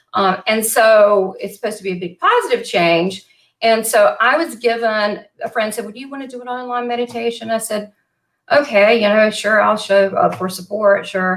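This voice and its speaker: With a Southern US accent, a woman speaks at a moderate pace and a fairly high pitch, showing ordinary pitch variation and big swings in loudness. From US South, western Kentucky. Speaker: psychic medium and show host. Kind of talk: casual interview chat. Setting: live online video chat. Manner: animated.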